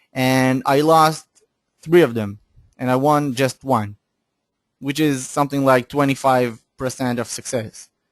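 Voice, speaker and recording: Medium-pitched man at a fairly slow pace, in dry, close sound with no echo. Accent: non-native. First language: not English. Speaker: forex analyst. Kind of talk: webinar. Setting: online webinar. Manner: halting, with fillers and restarts.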